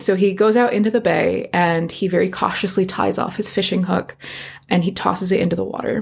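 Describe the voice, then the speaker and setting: This woman's medium-pitched voice carries vocal fry and fairly even intonation. She speaks at a fairly quick pace. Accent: American. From Virginia, US. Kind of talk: casual chat and storytelling. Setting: home recording with cat.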